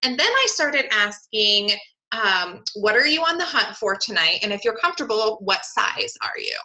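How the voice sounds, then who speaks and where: In a Southern California accent, a woman talks at a moderate pace with an animated tone and very wide pitch swings. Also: fairly high pitch for a woman. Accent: valley girl sound, self-described. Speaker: online clothing seller hosting a webinar. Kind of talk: webinar presentation. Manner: animated, chatty with fillers.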